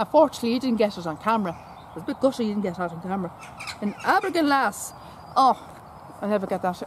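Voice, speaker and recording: A woman with an Irish accent talks very fast in a fairly high voice, with lively intonation and long, frequent pauses. Noticeable background noise runs underneath. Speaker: horse enthusiast vlogger. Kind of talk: casual chat. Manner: halting, repetitive.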